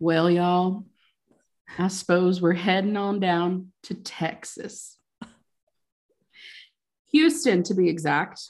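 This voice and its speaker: A woman puts on a drawling character voice in a Southern US accent, speaking at a fairly slow pace with long, frequent pauses, her pitch medium, against a quiet background. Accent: Southern American. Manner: slow drawl, syrupy.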